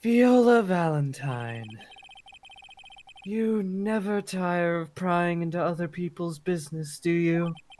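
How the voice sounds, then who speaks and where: Fairly slow delivery in a put-on character voice of middle pitch. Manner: haughty, accusatory.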